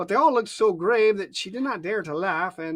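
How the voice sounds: A natural reading voice carries the text. The intonation moves in a lively way.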